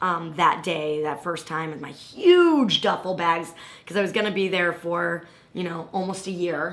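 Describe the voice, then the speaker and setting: A woman speaks fairly slowly in a fairly low voice with fairly even intonation. Audible room echo and noticeable background noise surround her. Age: 30s. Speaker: political activist. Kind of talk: casual chat.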